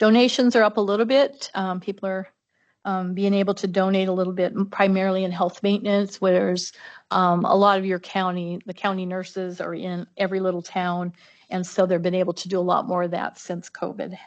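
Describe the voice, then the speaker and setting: A woman's medium-pitched voice at a fairly quick pace, monotone and flat in intonation, against a quiet background. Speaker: public health administrator. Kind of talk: budget presentation. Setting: county commission meeting. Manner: fast.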